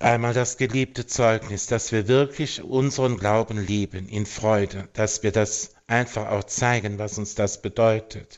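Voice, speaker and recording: A man speaks with hardly any pauses. His intonation stays fairly even. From Germany, Eifel region. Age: 50s. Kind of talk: radio interview. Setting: phone call. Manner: hesitant, with fillers.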